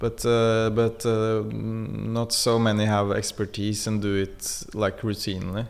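Fairly slow yet with hardly any pauses, a man with a Norwegian accent speaks at a fairly low pitch in a monotone, flat intonation. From Norway. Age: 40s. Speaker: technical producer. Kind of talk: interview. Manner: calm; halting, many fillers.

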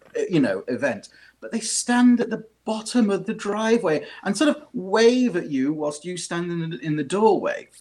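A man with a British accent talks at a high pitch with lively intonation. He keeps a moderate pace. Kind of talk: casual chat.

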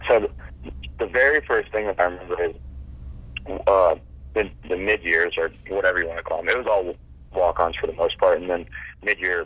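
A man talks at a moderate pace. His speech has long, frequent pauses. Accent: American. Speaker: former college football player. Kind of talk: interview.

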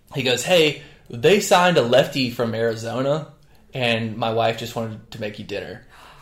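Someone speaks in an American accent with big swings in loudness. Room echo is audible. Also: man. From North Carolina. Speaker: strength coach, former baseball pitcher. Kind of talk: casual chat.

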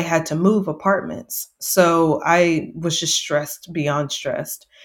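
Here a woman with a Texan accent speaks at a fairly low pitch, with fairly even intonation. The recording is very clean, with a silent background. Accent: Texan American. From Texas, near San Antonio. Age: 30s. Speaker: journalist and mental health advocate. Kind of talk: interview, personal testimony.

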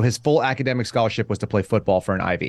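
In an ordinary speaking voice, a man talks at medium pitch with lively intonation. The background is quiet. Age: 40s. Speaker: podcast guest. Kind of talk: casual chat.

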